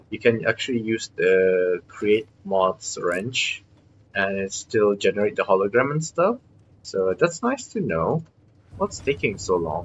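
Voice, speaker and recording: A man mumbles at a fairly slow pace. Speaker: gaming streamer. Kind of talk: gameplay commentary. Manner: mumbling; hesitant, many fillers.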